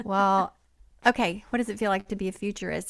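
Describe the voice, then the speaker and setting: Over a silent background in a very clean recording, a plain, everyday voice moves at a fairly quick pace with ordinary pitch variation. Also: woman. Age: 60s. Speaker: podcast host. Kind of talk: podcast interview.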